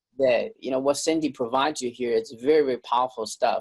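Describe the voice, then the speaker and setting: The delivery comes at a fairly quick pace, with a dry, close sound that has no echo. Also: man. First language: not English. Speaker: online marketing reviewer and interviewer. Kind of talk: interview sales pitch. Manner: halting, repeated words.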